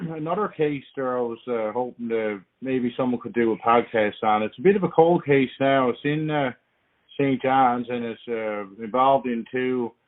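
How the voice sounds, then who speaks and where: A man speaks in a Newfoundland accent at a moderate pace. His pitch is medium, with ordinary variation. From Newfoundland, Canada. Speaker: podcast listener calling in. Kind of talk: voicemail message. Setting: phone voicemail. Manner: hesitant, many fillers.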